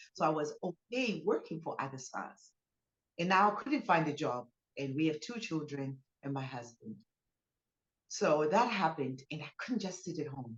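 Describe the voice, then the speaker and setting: A woman with a Zimbabwean accent, very deep and low in pitch, somewhat breathy, at a moderate pace with long, frequent pauses, very wide pitch swings and big swings in loudness. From Zimbabwe, Harare. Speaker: business owner, spa founder. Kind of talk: interview testimony.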